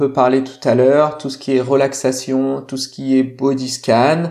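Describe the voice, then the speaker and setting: A dark, mellow tone marks this voice. The speech is fairly slow. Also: man. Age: 30s. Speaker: sports mental coach. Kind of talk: casual interview chat. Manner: halting, many repetitions.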